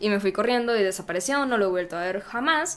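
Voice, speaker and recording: Fairly high in pitch, a woman speaks in a plain, everyday voice. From Guatemala, Zacapa. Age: 20s. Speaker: podcast co-host. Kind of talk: casual chat. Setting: live stream.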